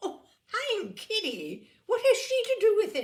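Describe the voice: A woman does a put-on character voice at an extremely high pitch, with very wide pitch swings. She goes fairly slowly, her tone slightly mellow.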